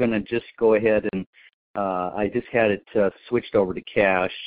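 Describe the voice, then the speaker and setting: The speech holds a moderate pace with ordinary pitch variation. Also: man. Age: 60s. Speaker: caller. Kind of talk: call-in question. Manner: halting.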